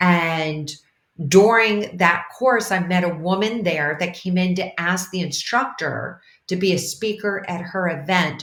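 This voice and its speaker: A woman with an unremarkable speaking voice talks at a fairly low pitch. Her pace is fairly slow and her intonation fairly even. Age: 60s. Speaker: transformational leader and mentor. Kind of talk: interview.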